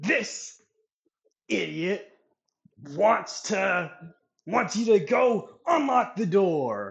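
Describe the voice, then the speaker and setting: A man's raspy, high-pitched put-on character voice at a very slow pace, broken by long, frequent pauses. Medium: actual play. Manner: condescending.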